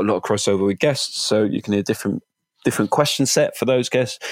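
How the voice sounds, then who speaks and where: A dry, close sound with no echo, in a Welsh accent. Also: man. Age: 30s. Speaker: marketing executive. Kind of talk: interview.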